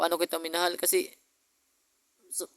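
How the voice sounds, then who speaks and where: This man speaks in a high pitch with monotone, flat intonation. The sound is dry and close, with no echo. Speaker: vlogger. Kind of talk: personal video message. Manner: fast; halting.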